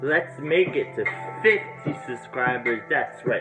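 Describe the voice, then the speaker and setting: Clear background music under a man's voice. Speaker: vlogger. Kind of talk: casual vlog chat. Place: home room. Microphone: phone near.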